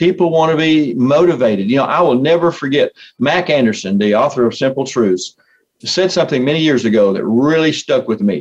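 A man's fairly high-pitched, ordinary speaking voice, with very even loudness, lively intonation and a fairly quick pace. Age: 60s. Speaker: motivational speaker and coach. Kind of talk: interview.

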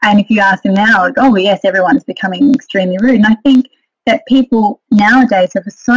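This woman speaks with an Australian accent, a fairly high pitch, ordinary pitch variation and a somewhat breathy quality. The sound is dry and close, with no echo. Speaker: etiquette and modelling trainer. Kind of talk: interview.

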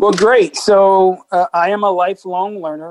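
Here a man speaks at a moderate pace. The sound is dry and close, with no echo. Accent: Midwestern American. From US Midwest, Peoria, Illinois. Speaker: Marine Corps officer. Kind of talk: interview.

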